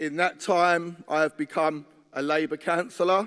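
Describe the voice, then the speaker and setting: This man has an unremarkable speaking voice with a fairly high pitch. He speaks at a fairly slow pace with fairly even intonation. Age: 50s. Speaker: trade union delegate. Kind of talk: conference speech. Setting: conference hall.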